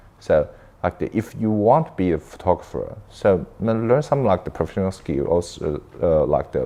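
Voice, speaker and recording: A man with a Chinese accent speaks at a moderate pace over noticeable background noise. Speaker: filmmaker and camera operator. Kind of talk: interview. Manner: halting, with many fillers and self-corrections.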